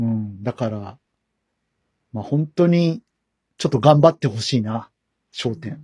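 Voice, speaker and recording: With a dark, mellow tone and a medium pitch, a man talks fairly slowly and somewhat breathily, his intonation lively and his pauses long and frequent, in a dry, close sound with no echo. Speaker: podcast host. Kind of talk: casual chat.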